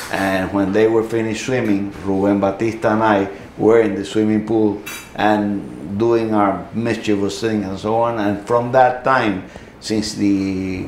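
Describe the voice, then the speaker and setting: Amid noticeable background noise and audible room echo, a man talks at a fairly slow pace with a fairly low pitch. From Cuba. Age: 70s. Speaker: Cuban exile, newspaper editor. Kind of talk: interview. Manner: halting, many fillers.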